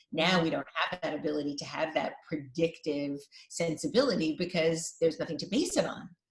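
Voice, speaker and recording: A somewhat breathy woman with a New York accent, fairly low in pitch with ordinary pitch variation, at a fairly quick pace. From New York (Brooklyn, Queens). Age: 50s. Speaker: designer and podcast host. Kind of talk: interview.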